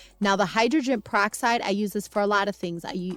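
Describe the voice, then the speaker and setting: A woman's medium-pitched voice with ordinary pitch variation, music in the background. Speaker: cleaning and homemaking vlogger. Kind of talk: tutorial voiceover. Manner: fast; casual.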